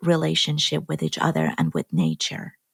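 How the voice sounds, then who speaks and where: Somewhat breathy, a woman with an Iranian accent speaks in a dry, close recording with no echo. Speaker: genetic engineer and film producer. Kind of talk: podcast conversation.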